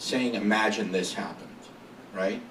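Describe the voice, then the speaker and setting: An animated tone at a moderate pace, with audible room echo and noticeable background noise. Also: man. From Syria (Aleppo), moved to US as child. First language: Arabic. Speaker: marketing agency founder, entrepreneur. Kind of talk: interview talk before audience. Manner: animated, casual with many fillers.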